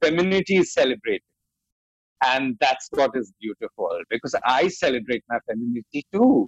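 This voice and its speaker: A man with an Indian accent talks at a moderate pace, his voice dry and close with no echo. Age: 40s. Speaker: makeup artist. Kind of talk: interview.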